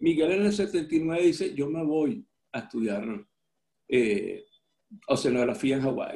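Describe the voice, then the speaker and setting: A man with a dark, mellow tone and fairly high pitch speaks at a very slow pace, with very wide pitch swings and long, frequent pauses. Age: 60s. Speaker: surfer and medical doctor. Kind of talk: interview storytelling.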